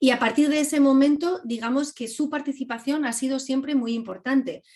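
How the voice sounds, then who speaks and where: Her pitch high, a woman delivers her words at a fairly quick pace. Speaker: filmmaker. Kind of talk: class Q&A talk. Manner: animated.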